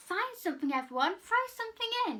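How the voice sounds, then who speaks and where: A woman puts on a squeaky character voice at extremely high pitch, with very wide pitch swings and a fairly quick pace. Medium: read story.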